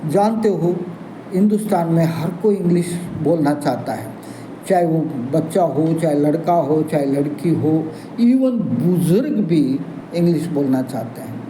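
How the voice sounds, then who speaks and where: Background noise is noticeable. The room echo is audible too. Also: man, high pitch for a man, ordinary pitch variation. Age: 70s. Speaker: English teacher. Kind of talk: channel introduction talk to viewers.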